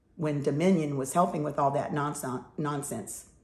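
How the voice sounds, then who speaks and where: With an American accent, a woman speaks in a somewhat breathy voice with ordinary pitch variation, and audible room echo surrounds her. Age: 70s. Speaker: political commentator. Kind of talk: opinion monologue.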